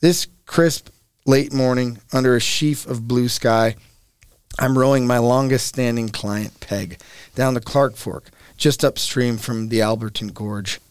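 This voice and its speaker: With a plain, everyday voice, a man talks at a moderate pace and a medium pitch, keeping his intonation fairly even. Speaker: author and river guide. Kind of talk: casual interview chat.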